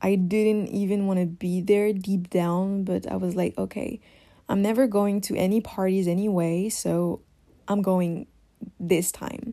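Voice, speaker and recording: With a French accent, a woman talks at a fairly slow pace in a medium pitch, her dark, mellow tone set to a flat, monotone intonation. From France. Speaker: podcast host. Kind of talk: solo podcast monologue. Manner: hesitant, many fillers.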